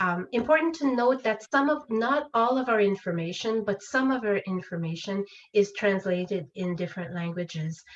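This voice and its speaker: A woman's medium-pitched voice with lively intonation at a moderate pace, amid noticeable background noise. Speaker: legal education presenter. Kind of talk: webinar presentation. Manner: hesitant, many fillers.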